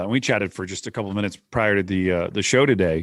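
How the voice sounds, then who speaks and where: A man with a fairly low pitch talks at a very fast pace with ordinary pitch variation, in a very clean recording with a silent background. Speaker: podcast host. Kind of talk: podcast interview; scripted show intro. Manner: well-modulated cadence.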